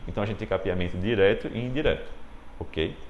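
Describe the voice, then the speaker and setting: Vocal fry runs through this man's medium-pitched voice as it swings very widely in pitch, with audible echo from the room. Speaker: dentistry lecturer. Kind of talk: lecture. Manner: animated.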